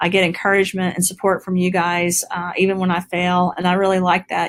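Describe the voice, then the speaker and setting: A woman at medium pitch and moderate pace, dry and close with no echo. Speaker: chief science officer and product formulator. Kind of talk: company webinar presentation. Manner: halting, with fillers and repeated words.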